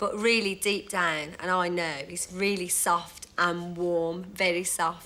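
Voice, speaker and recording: With a Birmingham accent, a woman speaks at a very slow pace in a fairly low pitch with monotone, flat intonation. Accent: Birmingham (Brummie). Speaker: dating show contestant. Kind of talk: interview recollection.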